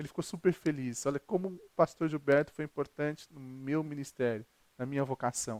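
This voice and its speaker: This man's fairly high-pitched voice is recorded with a dry, close sound and no echo. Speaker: pastor. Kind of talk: sermon. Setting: recorded video. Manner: fast.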